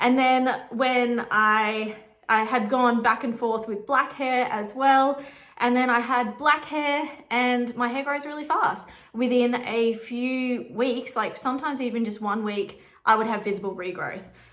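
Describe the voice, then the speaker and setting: Amid noticeable background noise and audible room echo, a woman with a strong Australian accent speaks fairly slowly in a high voice with fairly even intonation. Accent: broad Australian. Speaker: vintage stylist and photographer. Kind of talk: casual chat. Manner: casual, rambling.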